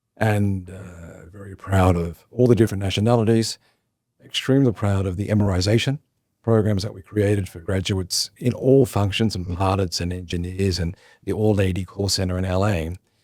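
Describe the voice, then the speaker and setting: A man's fairly low voice at a fairly quick clip, with big jumps in volume, on a very clean recording with a silent background. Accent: Australian. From Australia. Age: 60s. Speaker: former airline chief executive. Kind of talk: interview.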